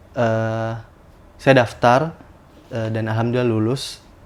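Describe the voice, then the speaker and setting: A man speaks at a very slow pace. Audible room echo is present. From South Sulawesi, Bone. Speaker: medical student. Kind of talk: podcast interview. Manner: hesitant, many fillers.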